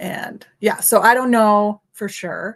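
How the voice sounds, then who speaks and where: A woman's fairly even intonation comes through over a quiet background. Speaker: tech presenter. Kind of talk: livestream tutorial. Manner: hesitant, many fillers.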